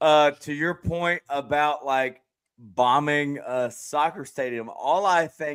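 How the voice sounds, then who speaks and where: A man mumbles at a very slow pace in a Southern accent, his pitch fairly high with ordinary pitch variation. The recording is very clean, with a silent background. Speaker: streamer and podcast host. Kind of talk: casual panel discussion. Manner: mumbling.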